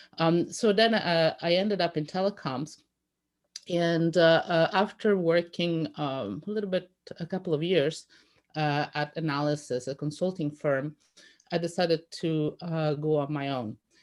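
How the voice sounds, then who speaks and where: In a very clean recording with a silent background, a woman speaks with an Italian accent. Her fairly low voice moves at a fairly slow pace with ordinary pitch variation. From Italy, rural conservative region. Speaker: telecoms industry analyst and panelist. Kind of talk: panel discussion. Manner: halting, many fillers.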